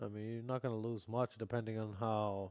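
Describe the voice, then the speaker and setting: A man speaks at a moderate pace with a slight Canadian accent, his fairly low, dark and mellow voice monotone and flat, in a dry, close recording with no echo. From Canada, Vancouver. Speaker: futures trading streamer. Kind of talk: live stream commentary. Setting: live stream. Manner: casual.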